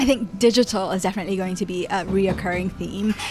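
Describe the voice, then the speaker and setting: This is a woman with a medium pitch. Noticeable background noise can be heard. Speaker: podcast co-host. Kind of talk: casual chat over tea and cake.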